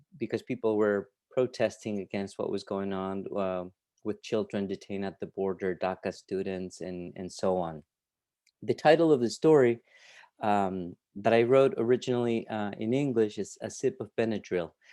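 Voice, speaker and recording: In a Peruvian accent, a man with a fairly low pitch and a dark, mellow tone speaks against a quiet background, the sound dry and close with no echo. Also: ordinary pitch variation, moderate pace. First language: Spanish. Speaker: writer and literature professor. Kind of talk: conversation and fiction reading. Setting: video call. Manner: halting, many fillers and repetitions.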